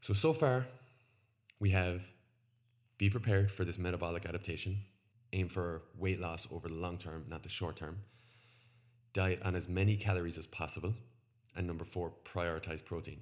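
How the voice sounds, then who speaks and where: Someone with an Irish accent speaks with fairly even intonation and long, frequent pauses. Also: man, very deep, low pitch for a man, moderate pace. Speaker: nutrition podcast host. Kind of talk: solo educational podcast. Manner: casual, conversational.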